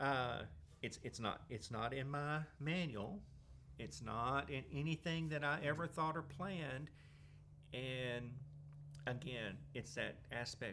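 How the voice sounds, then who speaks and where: A man with a Southern US accent, medium pitch, vocal fry, a bright, sharp tone, ordinary pitch variation, and long, frequent pauses. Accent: US South. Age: 60s. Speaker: Salvation Army worker with terminal cancer. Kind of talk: interview testimony. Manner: halting.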